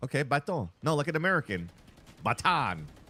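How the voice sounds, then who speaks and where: In a Quebec accent, a man speaks at a moderate pace with very wide pitch swings, a bright, sharp tone, and vocal fry, on a very clean recording with a silent background and a dry, close sound with no echo. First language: French. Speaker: esports caster and streamer. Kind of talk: casual livestream chat. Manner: animated.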